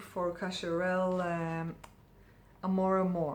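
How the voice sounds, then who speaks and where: A woman's medium-pitched voice at a very slow pace, with audible room echo. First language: not English. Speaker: perfume reviewer. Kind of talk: casual product review. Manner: hesitant, many fillers.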